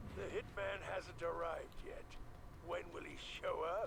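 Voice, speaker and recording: A man performs a put-on character voice against loud background noise. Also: moderate pace. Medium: video game. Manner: doubtful, wry.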